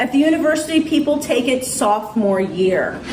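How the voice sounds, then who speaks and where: Noticeable background noise and audible room echo surround a woman's voice. She speaks with ordinary pitch variation. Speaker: college chemistry instructor. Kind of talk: classroom talk to students. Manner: fast.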